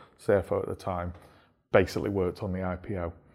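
The recording is very clean, its background silent. A man talks fairly quickly. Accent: Manchester. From Stockport, Greater Manchester, England. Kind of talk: interview.

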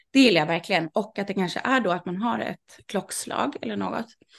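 With vocal fry and a medium pitch, a woman speaks over a quiet background. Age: 30s. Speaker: sex party organizer. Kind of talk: casual interview.

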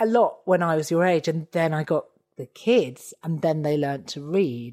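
A woman's fairly low voice in a dry, close sound with no echo, on a very clean recording with a silent background. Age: 40s. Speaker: comedian. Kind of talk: casual chat.

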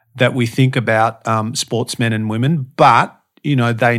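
In a very clean recording with a silent background, the speaker uses an Australian accent and fairly even intonation. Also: man. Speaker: podcast guest, motivational speaker and strength coach. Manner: casual, conversational, same voice everywhere.

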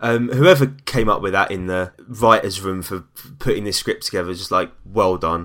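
A man with a London accent, fairly low pitch, ordinary pitch variation and a moderate pace, in a very clean recording with a silent background. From East London. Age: 20s. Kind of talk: casual chat.

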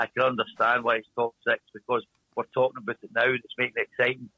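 Speaking very fast, a man uses a medium pitch. He talks with a strong Glasgow accent. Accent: strong Glasgow Scottish. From Scotland, Glasgow. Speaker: speedway team manager. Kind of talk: interview. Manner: tends to talk fast when excited.

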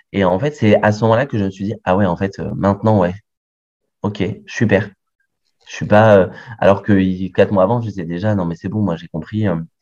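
The speech moves at a fairly quick pace with fairly even intonation, broken by long, frequent pauses. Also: man, fairly low pitch for a man. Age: 30s. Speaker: medical resident and adoptive father. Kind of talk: interview testimony.

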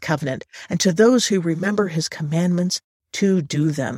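A woman speaks at a moderate pace in a somewhat breathy voice with ordinary pitch variation, recorded dry and close with no echo on a very clean track with a silent background. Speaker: Bible teacher. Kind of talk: lecture.

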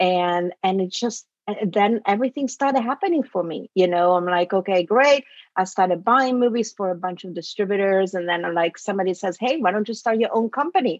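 A woman speaks at a medium pitch with an Italian accent. The sound is dry and close, without any echo. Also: ordinary pitch variation, fairly quick pace. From Italy. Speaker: film producer. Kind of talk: interview.

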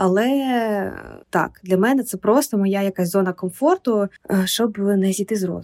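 In a dry, close sound with no echo, a woman with an unremarkable speaking voice talks fairly slowly at a medium pitch with ordinary pitch variation. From Ukraine, Kyiv. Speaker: literary publisher. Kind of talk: podcast interview.

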